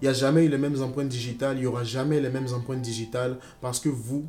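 Talking at a very fast pace, a man uses a medium pitch and a dark, mellow tone. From Ivory Coast. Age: 20s. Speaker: student vlogger. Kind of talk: personal testimony vlog. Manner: animated.

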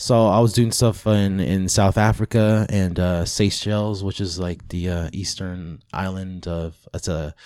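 Recorded very cleanly against a silent background, a man speaks in an ordinary speaking voice, fairly low in pitch with fairly even intonation. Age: 30s. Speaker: magician. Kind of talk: casual chat.

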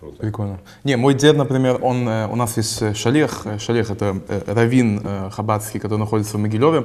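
This man has a plain, everyday voice at a medium pitch, speaking at a fairly quick pace with ordinary pitch variation. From Israel. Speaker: podcast host. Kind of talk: casual chat.

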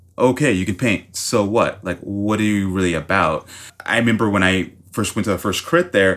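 In a very clean recording with a silent background, a man with an unremarkable speaking voice and an American accent talks at a moderate pace, his fairly low pitch showing ordinary variation. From US South, Miami, Florida. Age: 30s. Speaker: painter. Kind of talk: casual chat.

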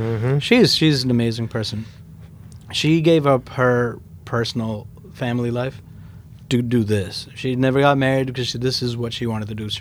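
Audible room echo surrounds a man speaking at a moderate pace in a medium pitch with fairly even intonation. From Queens, New York (born in India). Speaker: sneaker store owner. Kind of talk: casual interview.

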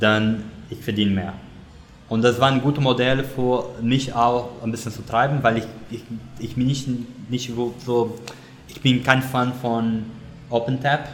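A man with a non-native accent speaks at medium pitch and a fairly slow pace, with long, frequent pauses and a flat monotone. His loudness swings widely, and the room echo is audible. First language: not German (speaking German). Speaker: service design director. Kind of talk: interview. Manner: halting, many fillers.

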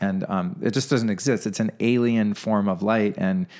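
Recorded very cleanly over a silent background, a man with an unremarkable speaking voice talks at a moderate pace and fairly low pitch with ordinary pitch variation. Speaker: wellness podcaster and meditation teacher. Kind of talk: interview.

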